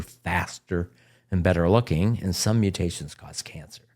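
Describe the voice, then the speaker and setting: A man's very deep, low voice comes through a very clean recording where the background is silent. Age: 70s. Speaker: oncologist. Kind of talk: podcast interview.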